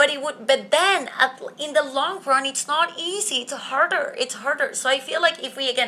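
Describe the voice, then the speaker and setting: A woman's high, raised, projected voice with a bright, sharp tone moves at a moderate pace with ordinary pitch variation and hardly any pauses. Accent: non-native. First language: not English. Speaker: podcast host. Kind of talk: solo podcast monologue. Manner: casual, conversational.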